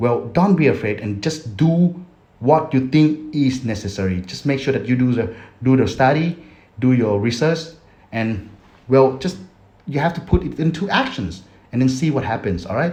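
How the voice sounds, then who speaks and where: Lively intonation marks this man's speech, which carries a non-native accent. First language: Thai. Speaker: affiliate marketer, YouTuber. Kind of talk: casual vlog tutorial. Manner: halting.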